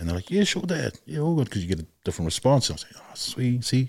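Here a man speaks at a fairly quick pace. His voice is somewhat breathy. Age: 40s. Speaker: father speaking about parenting and culture. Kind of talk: casual chat. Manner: halting, many fillers.

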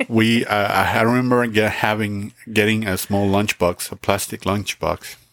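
In a Spanish accent, a man with a fairly low pitch speaks at a moderate pace with hardly any pauses, his intonation monotone and flat, the sound dry and close with no echo. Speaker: podcast host. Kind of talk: casual chat. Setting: home recording.

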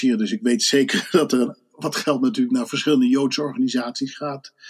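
Lively in intonation and hardly pausing, a man with a fairly high pitch speaks at a moderate pace in an unremarkable speaking voice. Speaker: Dutch expat panelist and volunteer. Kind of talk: casual chat.

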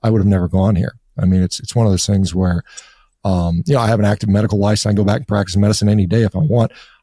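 In an American accent, a man speaks with a fairly low pitch and a dark, mellow tone, the sound dry and close with no echo. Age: 50s. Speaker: physician and diet author. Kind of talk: interview. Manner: halting.

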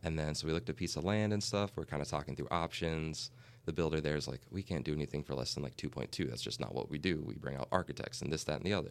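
Vocal fry runs through this very fast, lively-toned delivery with hardly any pauses. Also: man, very deep, low pitch for a man. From Minnesota. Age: 20s. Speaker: real estate agent. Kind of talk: casual interview.

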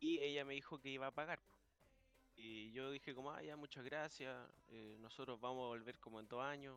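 A man with a Chilean accent at a medium pitch, fairly quick pace and fairly even intonation, with big swings in loudness and music in the background. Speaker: podcast host. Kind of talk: casual chat. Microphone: echo on his stream.

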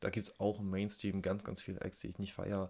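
Speaking at a fairly quick pace, a man keeps a fairly low pitch in a monotone, flat intonation. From near Berlin, Germany. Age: 20s. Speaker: podcast co-host, music fan. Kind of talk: casual chat.

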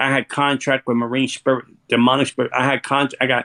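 A man talks at a very fast pace in a flat monotone at medium pitch, the sound dry and close with no echo. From New York City, Puerto Rican family. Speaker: former occultist turned author and speaker. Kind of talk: testimony. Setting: live stream interview. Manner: intense, repetitive, stammering restarts.

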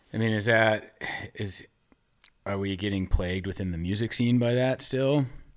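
A man with a fairly low pitch talks at a moderate pace in a plain, everyday voice. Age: 30s. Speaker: podcast host. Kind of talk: casual chat.

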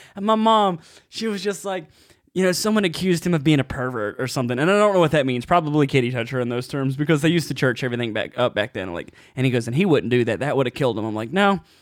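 The man's pitch swings very widely as he talks at a very fast pace. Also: fairly high pitch for a man. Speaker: open mic comedian and podcast co-host. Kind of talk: casual chat. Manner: fast talker.

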